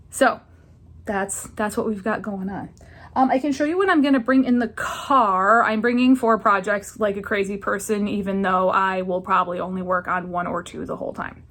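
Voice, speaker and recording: This woman's voice sits at a medium pitch and varies in an ordinary way. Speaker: knitting vlogger. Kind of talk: casual vlog chat. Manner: fast; rambling, with fillers.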